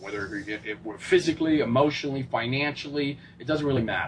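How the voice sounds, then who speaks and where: Speaking at a very fast pace in a New York accent, a man with a fairly high pitch and ordinary pitch variation is heard over noticeable background noise. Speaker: fitness coach and motivational speaker. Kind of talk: interview. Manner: animated.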